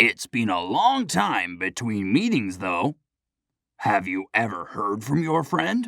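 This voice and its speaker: Using a put-on character voice, a man speaks fairly slowly at a fairly low pitch with lively intonation, in a dry, close sound with no echo. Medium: audio drama. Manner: calm, measured.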